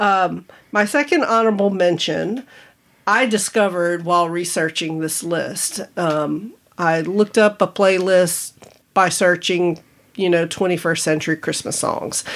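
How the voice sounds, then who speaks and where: A woman speaks in a plain, everyday voice. It is fairly low in pitch and fairly slow in pace. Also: ordinary pitch variation. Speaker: podcast guest, host's spouse. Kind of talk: casual chat. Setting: home studio.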